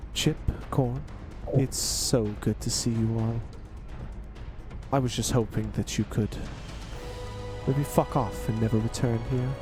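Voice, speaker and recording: A man speaks at a fairly slow pace in a booming, put-on character voice, with loud music playing in the background. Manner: menacing, sarcastic.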